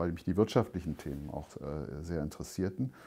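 A man at a moderate pace with a dark, mellow tone over a quiet background. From West Berlin, Germany; Berlin. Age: 60s. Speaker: lawyer and former privatization executive; interviewee. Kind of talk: interview. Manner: halting, many fillers. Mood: calm, reflective. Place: home room. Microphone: lapel.

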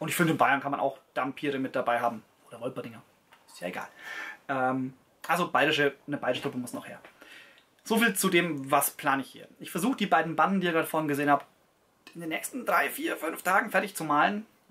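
Racing along at a very fast pace yet broken by long, frequent pauses, the voice has a bright, sharp tone, lively intonation and big swings in loudness. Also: man, fairly high pitch for a man. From Bavaria, Allgäu; Bavaria. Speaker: tabletop gaming YouTuber; hobby wargamer. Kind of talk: casual video talk to camera. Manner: hesitant with many fillers. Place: home room.

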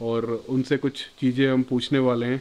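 A man speaks at a fairly slow pace. His voice sits fairly high, with fairly even intonation. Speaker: travel vlogger. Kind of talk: casual vlog talk to camera. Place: home room. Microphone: phone near.

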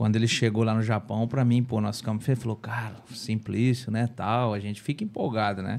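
This man's mid-level voice comes out at a fairly brisk tempo. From Brazil. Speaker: former footballer; podcast guest. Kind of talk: casual chat. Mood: relaxed, reflective storytelling. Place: studio. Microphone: studio mic.

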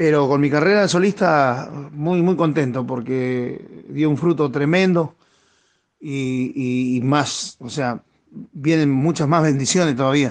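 Very slow speech moves along with pitch that varies in an ordinary way. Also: man, fairly high pitch for a man. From Argentina, Chaco province. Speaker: tropical music singer. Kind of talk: radio interview. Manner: halting, many repetitions.

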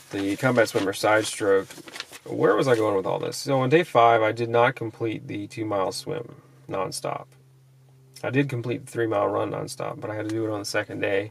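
A man's fairly quick speech with ordinary pitch variation. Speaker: fitness vlogger. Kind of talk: casual vlog chat. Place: car. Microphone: phone near.

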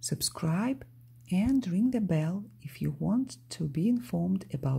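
This is a natural reading voice. Nothing more stands out.

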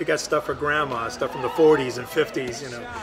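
Clear music plays in the background. Over it, a man speaks at a very fast pace. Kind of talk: interview answer. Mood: warm, proud. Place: cafe.

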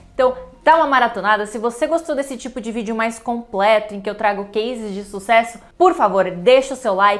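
A woman talks fairly quickly, her fairly high voice showing ordinary pitch variation. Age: 20s. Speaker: copywriting teacher. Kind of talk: educational video monologue. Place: studio. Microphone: lapel.

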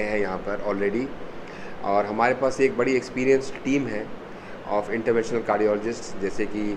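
Noticeable background noise runs under the recording. A man speaks in a monotone, flat way. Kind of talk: press conference statement. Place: meeting room. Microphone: handheld.

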